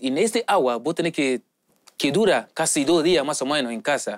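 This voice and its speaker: A man at a moderate pace with lively intonation, dry and close with no echo. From Nigeria, Lagos. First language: English or a Nigerian language (speaking Spanish). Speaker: footballer. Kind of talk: interview. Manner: halting non-native Spanish.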